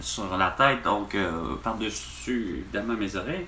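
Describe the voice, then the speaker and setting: Over noticeable background noise and audible room echo, a man speaks at a fairly slow pace with very wide pitch swings. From Quebec, Repentigny. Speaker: vlogger, store employee. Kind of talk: casual vlog monologue. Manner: halting, many fillers.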